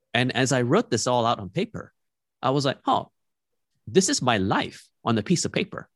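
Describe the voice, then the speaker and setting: Delivered at a moderate pace, with very wide swings in pitch. The sound is dry and close, with no echo. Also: man. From East Malaysia (Borneo), childhood partly in the Netherlands, British school. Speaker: podcaster and digital marketer. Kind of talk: interview conversation.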